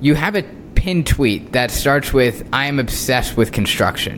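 A man speaks at a fairly high pitch. Noticeable background noise runs behind him. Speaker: podcast host. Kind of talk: interview.

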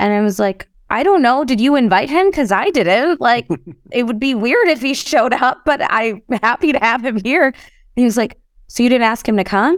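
With an American accent, a woman talks in a high pitch with lively intonation. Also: very even loudness. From US Midwest, Chicago. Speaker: real estate investor and entrepreneur. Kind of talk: interview conversation. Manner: fast, run-on speech.

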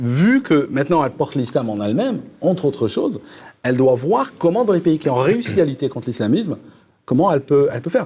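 This man talks at a fairly quick pace in a dark, mellow tone, his fairly high pitch swinging very widely. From Algeria. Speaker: political youtuber. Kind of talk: panel debate.

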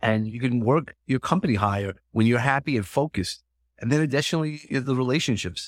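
Speaking at a very fast pace with a Brooklyn accent and ordinary pitch variation, the voice comes through a very clean recording with a silent background and a dry, close sound with no echo. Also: man, medium pitch for a man. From Brooklyn, New York. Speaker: motivational speaker and counselor. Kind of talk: interview conversation. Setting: in-person studio sit-down.

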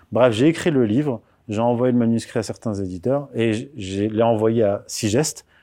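The tone is dark and mellow, captured in a very clean recording with a silent background. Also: man. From France, raised from age 4 after birth in Morocco. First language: Berber (Amazigh) (speaking French). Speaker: author and political commentator. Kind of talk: interview. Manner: hesitant, many fillers and repetitions.

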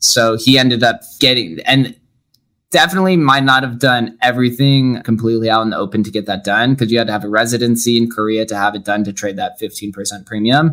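A normal speaking voice from a man with an American accent, fairly quick in pace, medium in pitch, with ordinary pitch variation. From Las Vegas, Nevada. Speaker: podcaster and entrepreneur. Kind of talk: interview.

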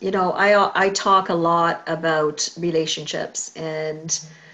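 A woman talks with monotone, flat intonation at a fairly low pitch. Noticeable background noise runs underneath. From Caribbean. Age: 50s. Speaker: podcast host and psychotherapist. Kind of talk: interview.

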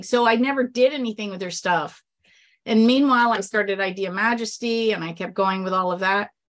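A woman with a normal speaking voice talks at a moderate pace and a fairly high pitch, her pitch varying in an ordinary way, on a very clean recording with a silent background. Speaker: sweepstakes expert and author. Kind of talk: casual interview chat.

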